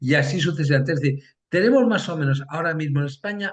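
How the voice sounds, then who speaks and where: With lively intonation, a man speaks at a very fast pace in a fairly high voice. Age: 60s. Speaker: political science professor. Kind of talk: interview. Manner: hesitant, many fillers.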